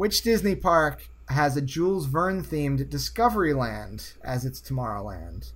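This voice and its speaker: A man speaks with an American accent at a fairly slow pace. He uses hardly any pauses. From US Northeast. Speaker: game show host. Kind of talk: quiz show.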